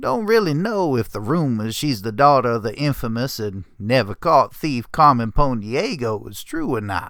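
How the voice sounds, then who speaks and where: A man puts on a gruff character voice at a medium pitch. He talks at a moderate pace on a very clean recording with a silent background. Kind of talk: dramatic story reading.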